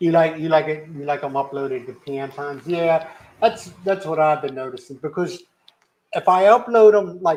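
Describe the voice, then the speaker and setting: This man has a Philadelphia accent and a fairly high pitch. He talks at a moderate pace with ordinary pitch variation. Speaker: live stream host. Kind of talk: casual chat. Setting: live stream. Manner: uses lots of slang.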